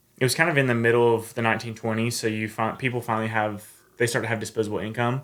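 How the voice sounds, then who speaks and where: Rattling along at a very fast pace, a man with an Appalachian accent speaks at medium pitch in a monotone, flat intonation. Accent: Southern US, Appalachian. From US South, north Georgia Appalachian mountains. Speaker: long-distance hiker. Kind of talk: casual interview.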